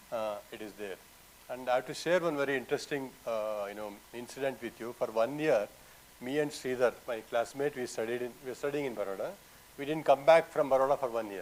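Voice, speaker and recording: Speaking at a fairly quick pace with a Kannada accent, this voice has ordinary pitch variation and big swings in loudness. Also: man, medium pitch for a man. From Karnataka, South India. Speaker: artist. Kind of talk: panel conversation. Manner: halting.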